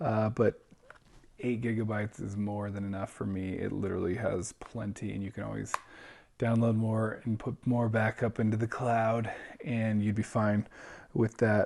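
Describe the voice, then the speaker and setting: A quiet man's voice, fairly low in pitch, with monotone, flat intonation and a moderate pace. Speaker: book reviewer. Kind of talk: unboxing review. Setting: at home. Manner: casual.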